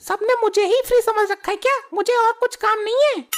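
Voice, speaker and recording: The voice is a squeaky, cartoonish character voice with fairly even intonation. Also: woman, extremely high pitch for a woman, fairly quick pace. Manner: brash, bargaining.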